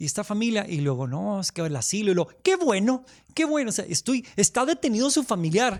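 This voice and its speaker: A man speaks in a Mexican accent at a fairly quick pace, with very wide pitch swings. The recording is very clean, with a silent background and a dry, close sound with no echo. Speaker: immigration lawyer, show host. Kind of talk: casual discussion.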